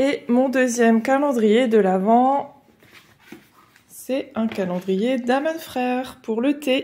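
A woman's high voice, very slow, with ordinary pitch variation. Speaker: coloring hobby vlogger. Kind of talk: casual talk to camera. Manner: hesitant, chatty. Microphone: phone near.

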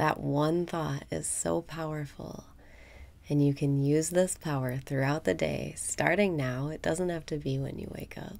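Speaking at a fairly slow pace, a woman uses a very deep, low pitch, ordinary pitch variation and a calm tone. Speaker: meditation guide. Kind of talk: guided meditation. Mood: warm and cheerful. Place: home room.

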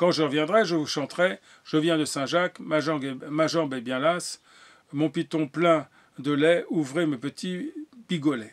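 Very slow speech with ordinary pitch variation over a quiet background. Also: man. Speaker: storyteller. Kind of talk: bedtime story telling. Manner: animated, playful, changing voices for each character; slow, halting with hesitations. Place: home room. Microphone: webcam.

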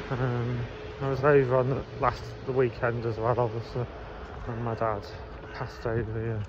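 A man's flat, monotone delivery, with long and frequent pauses, noticeable background noise and a dry sound with no echo. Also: moderate pace. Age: 40s. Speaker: vlogger. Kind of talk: casual vlog monologue. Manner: halting. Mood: subdued, sad. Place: street. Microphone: phone near.

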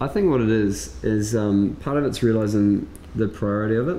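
Light background noise alongside audible room echo. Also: man. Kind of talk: casual conversation. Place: shop.

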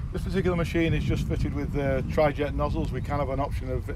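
A man talks at a very fast pace. The sound is dry with no echo, though loud background noise is present. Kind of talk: product walkaround explanation. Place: open country. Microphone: phone near.

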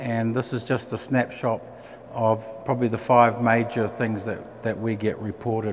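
With a New Zealand accent, a man speaks at a moderate pace and medium pitch. His intonation is monotone and flat, with noticeable background noise. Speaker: aircraft engine manufacturer representative. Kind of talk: technical presentation. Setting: venue with live audience. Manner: hesitant fillers.

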